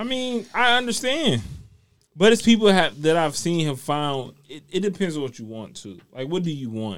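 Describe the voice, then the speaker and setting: A man with a fairly high voice speaks at a moderate pace, with very wide pitch swings and big swings in loudness. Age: 30s. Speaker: podcast co-host, teacher. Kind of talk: casual chat. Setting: studio.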